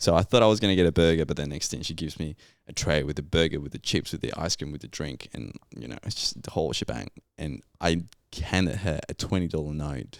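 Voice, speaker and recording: A man talks at a very fast pace in a very deep, low voice with vocal fry and ordinary pitch variation. The recording is very clean, with a silent background. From Colombia. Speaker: geologist. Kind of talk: casual chat. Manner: animated.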